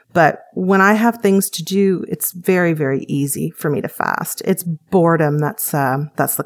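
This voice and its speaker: A woman with an ordinary speaking voice, a Canadian accent, fairly low pitch and ordinary pitch variation. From Canada. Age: 40s. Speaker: weight-loss program patient. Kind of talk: interview testimony.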